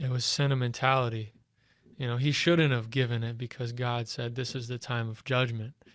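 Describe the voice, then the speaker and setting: A man speaks at a fairly quick pace and medium pitch. His intonation is monotone and flat. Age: 20s. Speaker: co-host. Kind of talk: casual chat. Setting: studio.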